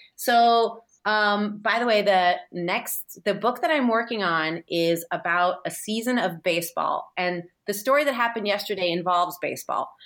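A woman with an American accent speaks at a moderate pace in an ordinary speaking voice. Her medium-pitched voice comes through a very clean recording with a silent background. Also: lively intonation. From San Francisco, US. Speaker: TV host and writer. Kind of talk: casual chat.

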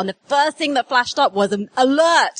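A woman with a high pitch talks at a fairly quick pace with lively intonation, in a dry, close sound with no echo. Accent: English. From England. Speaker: doctor and journalist. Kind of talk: live comedy quiz show. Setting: stage with live audience.

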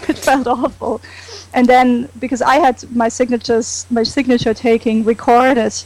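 Speaking in a German accent, a woman has a fairly high pitch and a flat, monotone delivery at a moderate pace. Noticeable background noise is present. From Germany. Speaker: comic con fan. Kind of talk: casual chat.

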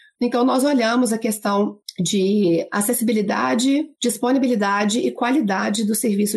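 A somewhat breathy woman with a Minas Gerais accent. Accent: mineiro. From Minas Gerais, Brazil (Barbacena). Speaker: lawyer and gender specialist. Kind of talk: interview.

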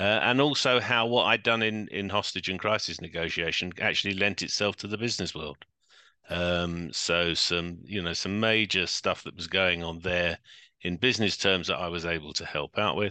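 Against a quiet background, a man with a London accent speaks at a moderate pace in a very deep, low voice with a bright, sharp tone and ordinary pitch variation. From London, England. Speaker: crisis management consultant, former police officer. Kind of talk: interview.

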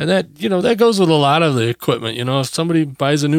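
A man at a very fast pace with lively intonation. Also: very clean recording, silent background. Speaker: podcast host. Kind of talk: solo podcast talk about news and tech. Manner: casual, filler-heavy.

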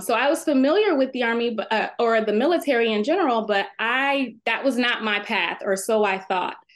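A woman talks in an ordinary speaking voice at a fairly high pitch and moderate pace. Her pitch varies in an ordinary way, over a quiet background. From Texas. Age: 30s. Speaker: attorney and navy veteran. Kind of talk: interview.

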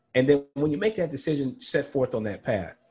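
Against a quiet background, a man with a dark, mellow tone and a somewhat breathy voice talks at a moderate pace. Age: 40s. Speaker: financial planner and professor. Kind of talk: casual interview.

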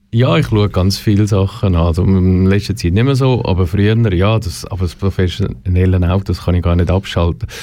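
Speaking at a fairly quick pace, a man uses a very deep, low pitch and a dark, mellow tone, with ordinary pitch variation and very even loudness. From Switzerland, German parents. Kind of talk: interview.

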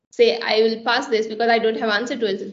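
Fairly high-pitched female speech carrying audible room echo. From India. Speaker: software engineer. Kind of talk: panel discussion.

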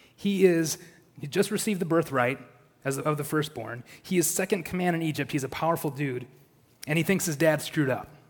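An unremarkable speaking voice from a man, fairly high in pitch, with lively intonation at a fairly quick pace. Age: 30s. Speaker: church elder preaching. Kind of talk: sermon. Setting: church.

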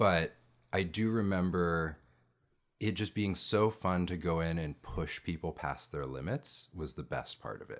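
On a very clean recording with a silent background, a man with a very deep, low pitch speaks at a fairly slow pace with ordinary pitch variation. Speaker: podcast host and improv performer. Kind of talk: casual chat.

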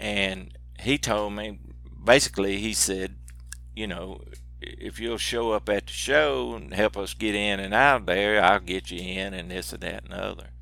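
A man's very deep, low voice with a strong Southern US accent, vocal fry, a bright, sharp tone, very wide pitch swings, big swings in loudness and a fairly slow pace. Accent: strong regional Southern US. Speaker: outdoors TV personality. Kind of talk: casual interview conversation.

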